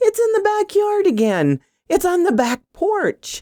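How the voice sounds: A put-on character voice moves slowly through big pitch swings in a dark, mellow tone. The sound is dry and close with no echo, on a very clean recording with a silent background. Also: woman, extremely high pitch for a woman.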